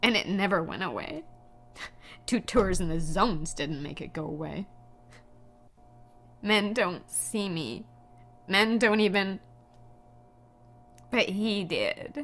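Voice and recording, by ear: A woman puts on a character voice at a medium pitch, with lively intonation and a fairly bright tone, speaking at a slow pace with long, frequent pauses.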